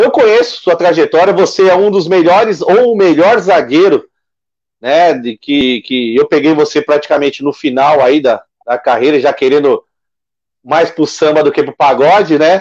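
Against a quiet background, a man with a normal speaking voice talks at a moderate pace in a fairly high pitch with lively intonation. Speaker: sports web show host; show host. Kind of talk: casual interview. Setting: live stream. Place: home room. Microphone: video call.

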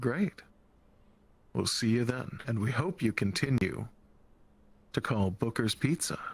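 There are long, frequent pauses as a man at medium pitch speaks at a fairly slow pace. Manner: cheery, coded customer service.

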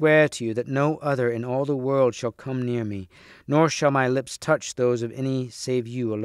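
A plain read-aloud delivery

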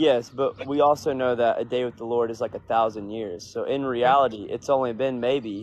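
A man speaks at a moderate pace with fairly even intonation, the sound dry with no echo. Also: hardly any pauses. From US South. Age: 20s. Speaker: livestream participant. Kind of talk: religious debate. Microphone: video call.

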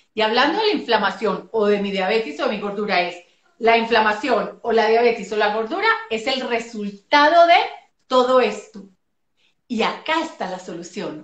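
A woman's fairly high voice with lively intonation, a moderate pace and audible room echo. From Colombia, Medellín. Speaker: physician and nutrition specialist; guest. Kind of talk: casual interview on a live stream. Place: home room. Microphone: video call.

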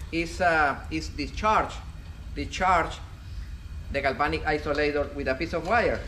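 Light background noise accompanies a man. He speaks at a moderate pace. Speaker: instructor. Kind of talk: tutorial. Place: workshop. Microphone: camera far.

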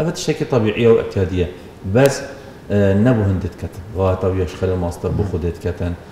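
Heard through light background noise and audible room echo, a man with a very deep, low pitch talks at a moderate pace with ordinary pitch variation. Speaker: Islamic preacher and scholar. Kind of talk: religious talk, sermon-like discussion. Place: studio. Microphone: lapel.

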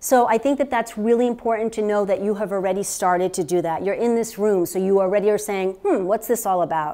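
Her fairly quick pace comes with ordinary pitch variation as the woman talks. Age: 50s. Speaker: healthcare practitioner and therapist; presenter. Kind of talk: workshop talk to a live audience. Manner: conversational, with fillers. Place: meeting room.

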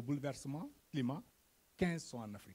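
Fairly quick and somewhat breathy, a man talks at a fairly high pitch with a dark, mellow tone and ordinary pitch variation. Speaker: NGO development worker. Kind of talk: conference presentation. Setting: conference stage with audience. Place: hall. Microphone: handheld.

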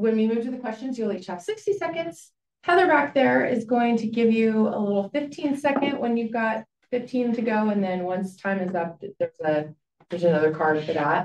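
A woman speaks at a moderate pace over light background noise, with audible echo from the room. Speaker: forum moderator. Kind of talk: moderator announcements. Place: meeting room.

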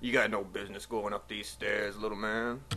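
Amid clear background noise, a man growls through a put-on character voice, fairly low in pitch and at a fairly quick pace. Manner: menacing, tough.

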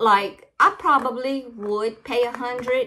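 Very slow speech in an American accent, with lively intonation, a bright, sharp tone and light background noise. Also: woman. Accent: Cajun Louisiana Southern US. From Louisiana, Cajun. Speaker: crafting YouTuber. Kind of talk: casual unboxing vlog. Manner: chatty, rambling talk. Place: home room. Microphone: phone near.

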